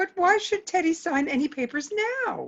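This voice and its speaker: A woman puts on a squeaky character voice at an extremely high pitch. She moves at a moderate pace with lively intonation. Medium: stage play.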